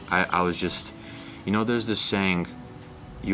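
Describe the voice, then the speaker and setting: Man with an American accent at a fairly quick pace, with music in the background. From US South. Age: 20s. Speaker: young entrepreneur. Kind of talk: motivational interview. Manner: animated.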